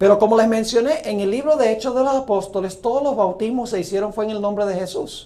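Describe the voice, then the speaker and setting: A man's high voice at a very fast pace, with ordinary pitch variation and hardly any pauses. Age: 60s. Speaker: pastor. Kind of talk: sermon.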